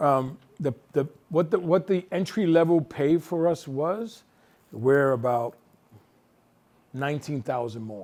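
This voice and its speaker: A man's fairly high voice with a New York accent, lively intonation, and long, frequent pauses. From New York City. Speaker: nonprofit executive director, harm reduction. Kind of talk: talk with audience Q&A. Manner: fast; casual, animated.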